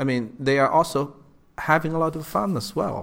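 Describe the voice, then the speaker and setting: Vocal fry from a man at medium pitch and a moderate pace. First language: not English. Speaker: podcast host. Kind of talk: interview.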